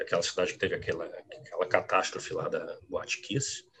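A man rattles along very fast while noticeable noise sits in the background. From Rio Grande do Sul, raised in Rio de Janeiro from age 10. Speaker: quantitative trader. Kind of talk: interview. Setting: live stream.

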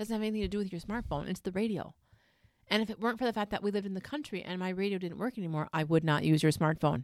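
Over a very clean recording with a silent background, a woman talks at a very fast pace with a medium pitch and ordinary pitch variation. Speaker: podcast co-host. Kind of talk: casual chat. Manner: loud, excitable.

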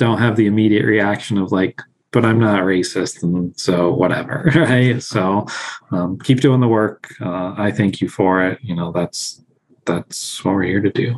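An unremarkable speaking voice from a man, fairly low in pitch, fairly slow, with ordinary pitch variation. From Illinois, USA and Mexico City. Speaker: assistant dean for diversity at vet school. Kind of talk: casual panel discussion.

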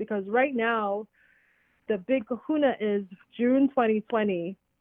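Using an ordinary speaking voice, a woman talks at a fairly slow pace. Her pitch is fairly high, with ordinary pitch variation. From Trinidad, moved to US at 14-15. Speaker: educator and entrepreneur. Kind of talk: casual interview.

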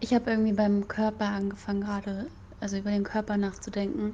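At a moderate pace and medium pitch, a woman speaks in a somewhat breathy, dark, mellow tone with monotone, flat intonation. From Berlin, Germany. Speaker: psychology graduate, café worker. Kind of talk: casual chat.

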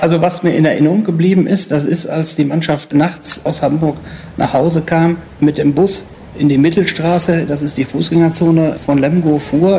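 Noticeable background noise under a man's fairly even intonation. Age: 50s. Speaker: sports journalist. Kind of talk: interview recollection.

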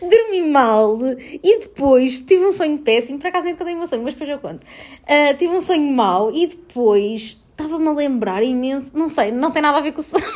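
A woman with a European Portuguese accent speaks high-pitched and animated, with lively intonation and hardly any pauses. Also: moderate pace. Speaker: podcast host. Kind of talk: casual chat. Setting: at home. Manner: animated, frequent laughter.

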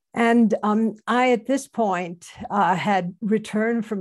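Against a quiet background, a woman of medium pitch keeps her intonation fairly even. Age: 70s. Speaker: Zen teacher and anthropologist. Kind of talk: panel talk. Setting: video call. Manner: halting.

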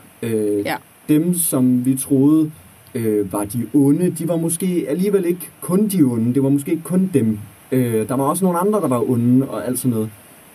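A man talks with lively intonation at a moderate pace and a fairly high pitch. Background noise is noticeable. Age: 20s. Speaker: student teacher. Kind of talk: casual chat.

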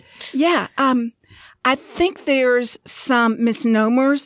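Speaking in a Southern US accent, a woman goes at a fairly slow pace with ordinary pitch variation. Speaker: podcast co-host. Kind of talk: casual podcast chat.

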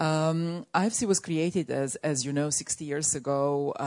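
A woman with a very deep, low pitch speaks with ordinary pitch variation against a quiet background. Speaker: development finance executive. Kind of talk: panel discussion. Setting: stage with audience.

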